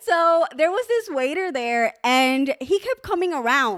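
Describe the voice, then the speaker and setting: A woman speaks with very wide swings in pitch. The recording is very clean, with a silent background. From Cuba. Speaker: podcast co-host. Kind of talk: casual chat.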